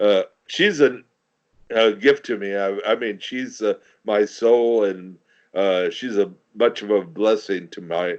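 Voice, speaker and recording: Very slowly and with fairly even intonation, a man with an American accent talks in a fairly low pitch. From California, San Francisco Bay Area. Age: 70s. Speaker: war veteran and poet. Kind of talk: interview. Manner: halting, many fillers and repetitions.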